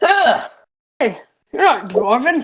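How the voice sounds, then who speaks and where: A high-pitched, put-on character voice leaps through very wide pitch swings. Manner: gruff.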